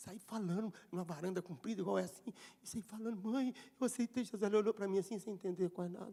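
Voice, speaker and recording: Very fast man's voice, high in pitch, dark and mellow in tone. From Brazil. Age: 60s. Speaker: pastor. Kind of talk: sermon. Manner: animated.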